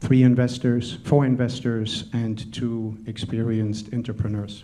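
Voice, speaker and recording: A man's medium-pitched, dark and mellow voice with a slight German accent, fairly slow and monotone, in audible room echo. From Germany. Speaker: panel moderator, tech entrepreneur. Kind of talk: conference talk.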